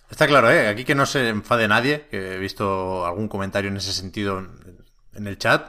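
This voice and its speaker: The voice has a bright, sharp tone, a fairly quick pace, big swings in loudness and ordinary pitch variation, in a very clean recording with a silent background. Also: man, fairly low pitch for a man. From Catalonia, Spain (Tiana, near Barcelona). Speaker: video game podcast host. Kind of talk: casual chat. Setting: studio, livestreamed on Twitch.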